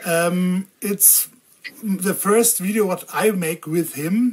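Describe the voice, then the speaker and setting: A woman speaks at a very slow pace. Her pitch sits in the medium range, with ordinary variation. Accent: German. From Germany. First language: German. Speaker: video blogger on diabetes tech. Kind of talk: interview. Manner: halting.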